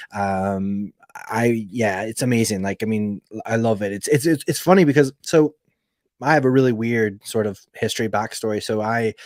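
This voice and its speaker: In an ordinary speaking voice, a man with an American accent talks at a moderate pace and medium pitch with ordinary pitch variation, the recording very clean, dry and close with no echo against a silent background. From Alaska, US. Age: 30s. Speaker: podcast host. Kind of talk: casual chat.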